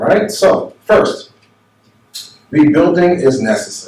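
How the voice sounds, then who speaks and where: With an American accent, a man speaks in a high pitch that makes very wide pitch swings. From New York / New Jersey area. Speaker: minister. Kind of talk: seminar talk. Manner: conversational, with many fillers.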